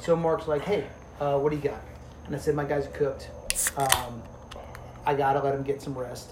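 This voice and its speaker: Pausing long and often, a man with an American accent speaks at a fairly quick pace and fairly high pitch in monotone, flat intonation, with noticeable background noise. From New Jersey. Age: 40s. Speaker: police officer. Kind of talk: casual chat.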